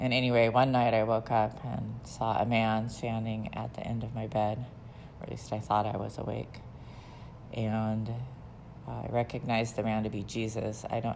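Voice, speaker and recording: A woman with an American accent speaks at a moderate pace in a very deep, low pitch with vocal fry. Her intonation is flat and monotone, and there is audible room echo. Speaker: memoir narrator. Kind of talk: personal life story. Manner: hesitant, with fillers.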